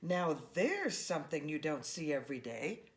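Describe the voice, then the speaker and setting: In a put-on character voice, a woman speaks at a very deep, low pitch and a moderate pace. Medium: read story.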